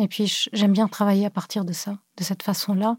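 In a dry, close sound with no echo, a woman speaks at a fairly quick pace and medium pitch, her dark, mellow tone somewhat breathy and her intonation monotone and flat. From Cameroon and France (born in Beirut). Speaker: visual artist. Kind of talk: interview. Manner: hesitant, many fillers.

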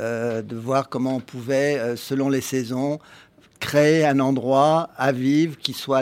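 A man of medium pitch speaks at a very slow pace with fairly even intonation. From Paris, France. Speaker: urban gardener, company founder. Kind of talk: live radio panel discussion. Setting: live broadcast at public event.

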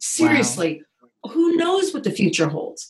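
A woman's somewhat breathy voice in an American accent, with very wide pitch swings. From Indiana, US Midwest. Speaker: executive coach. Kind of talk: interview.

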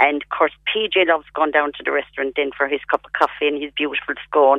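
The speaker talks at a moderate pace with a Cork accent. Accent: Cork Irish. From Ireland, County Cork. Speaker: palliative care patient. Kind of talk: radio interview.

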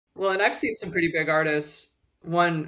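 With an American accent, a woman speaks at a moderate pace in a very deep, low pitch, her intonation fairly even. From Michigan. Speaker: publicist and executive coach. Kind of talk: casual chat.

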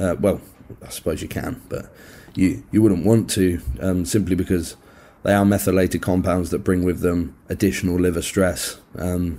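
In a British accent, a man speaks at a moderate pace with a very deep, low pitch, a dark, mellow tone and fairly even intonation. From UK. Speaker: physique coach. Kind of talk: casual interview chat.

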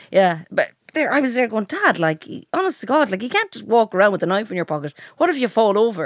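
In an Irish accent, a woman with a fairly high pitch talks at a very fast pace with very wide pitch swings, the sound dry and close with no echo. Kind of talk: casual banter podcast chat. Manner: joking, animated.

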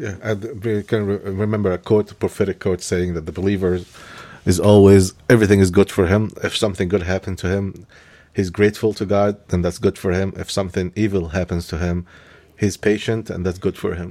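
A man with an Egyptian accent speaks at a fairly quick pace in a very deep, low pitch, his tone dark and mellow and his intonation flat and monotone. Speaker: religious leader, co-host. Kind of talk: casual conversation.

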